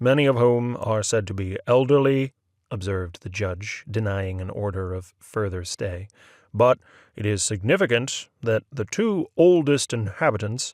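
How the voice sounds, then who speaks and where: A man with an ordinary speaking voice, medium pitch and ordinary pitch variation, at a fairly slow pace, in a dry, close sound with no echo and a very clean recording with a silent background. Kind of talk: short story reading.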